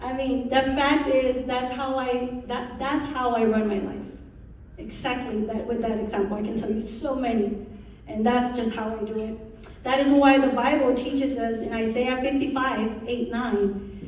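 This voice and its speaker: A woman with a Spanish accent speaks at a fairly slow pace in a high pitch and an animated tone, with audible room echo and noticeable background noise. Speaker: incoming association president, realtor. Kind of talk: speech.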